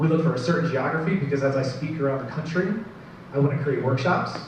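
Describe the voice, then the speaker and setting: There is audible room echo and noticeable background noise as a man speaks at a very fast pace with fairly even intonation. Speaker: marketing advisor and business presenter. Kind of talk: business presentation to live audience.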